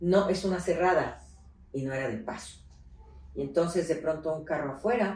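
Delivered at a moderate pace with long, frequent pauses, the speech carries audible room echo and noticeable background noise. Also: woman, fairly low pitch for a woman, ordinary pitch variation. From Mexico City, raised in León, Guanajuato. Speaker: politician and feminist activist. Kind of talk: interview. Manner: animated, halting with repetitions.

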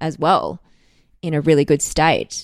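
Speaking in an Australian accent, a woman has a very deep, low pitch, captured in a very clean recording over a silent background. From Australia, Melbourne. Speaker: actor. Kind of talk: casual chat.

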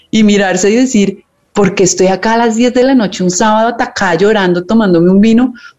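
A woman's normal speaking voice, fairly high-pitched with ordinary pitch variation and a fairly quick pace. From Colombia. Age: 40s. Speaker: podcast co-host. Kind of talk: casual chat.

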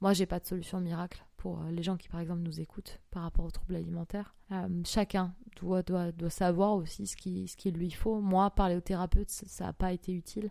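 A woman's fairly low, dark and mellow voice at a moderate pace, monotone and flat, with hardly any pauses and big swings in loudness. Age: 20s. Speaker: golf course manager. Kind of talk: testimony.

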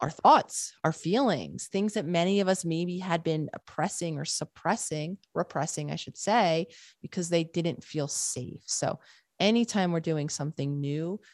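This woman has an unremarkable speaking voice, fairly low in pitch, at a moderate pace with ordinary pitch variation. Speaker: psychologist and author. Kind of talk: interview conversation.

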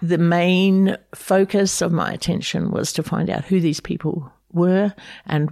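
A woman with a New Zealand accent talks in a dark, mellow tone with monotone, flat intonation. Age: 70s. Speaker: refugee advocate and migration agent. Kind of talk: interview. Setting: her home.

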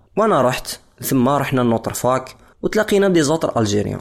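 A man with an unremarkable speaking voice. His pitch sits in the middle, and he talks at a fairly quick pace. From DR Congo, Lubumbashi. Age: 20s. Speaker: musician. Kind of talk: personal testimony.

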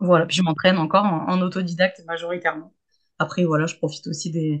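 Over a quiet background, a woman with a fairly low pitch speaks at a fairly quick pace in a monotone, flat intonation. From Hauts-de-France, Saint-Quentin. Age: 30s. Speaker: pole dance teacher. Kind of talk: casual chat. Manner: hesitant, many fillers and repetitions.

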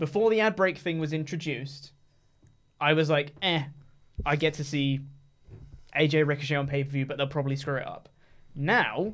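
A man with an English accent speaks in a fairly high voice. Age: 20s. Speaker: wrestling podcast co-host. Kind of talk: casual chat.

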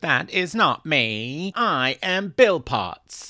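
A man puts on a robotic character voice, raised and projected, at a high pitch and a very slow pace. The recording is very clean, with a silent background. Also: dry, close sound with no echo.

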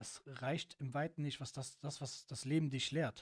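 A somewhat breathy man's voice, fairly high in pitch, monotone and flat, at a fairly slow pace, dry and close with no echo. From Cologne, Germany. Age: 30s. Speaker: car detailer. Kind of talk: casual chat.

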